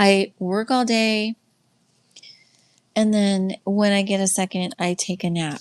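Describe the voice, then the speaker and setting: The pitch moves up and down in a normal way. It sits in the middle range for this woman's voice. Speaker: livestream host and faith-based life coach. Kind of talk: casual livestream teaching. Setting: live stream with chat. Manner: slow.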